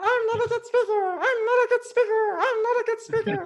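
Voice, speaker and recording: An extremely high, squeaky put-on character voice rattles along at a fairly quick pace. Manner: funny, comedic.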